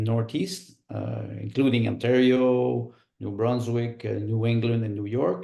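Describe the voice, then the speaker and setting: Speaking fairly slowly, a man talks in a Quebec accent. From Quebec, Montreal. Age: 60s. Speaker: political candidate. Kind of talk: interview. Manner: halting, many fillers.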